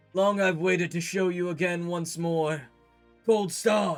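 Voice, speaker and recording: A man in a put-on character voice, high-pitched, at a fairly slow pace with fairly even intonation, over faint background music. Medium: actual play. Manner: solemn, formal, dramatic.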